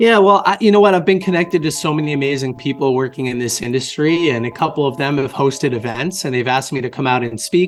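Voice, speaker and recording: A man with an American accent, fairly high pitch and lively intonation, talking at a very fast pace with hardly any pauses over music in the background. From US Northeast, Boston area. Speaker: author and marketing agency founder. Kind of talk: interview conversation.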